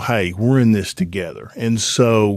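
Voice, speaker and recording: The speaker talks with an Alabama accent and ordinary pitch variation. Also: man. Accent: Southern US (Alabama). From Alabama, US South. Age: 60s. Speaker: former pro football player, airline pilot. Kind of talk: casual interview chat.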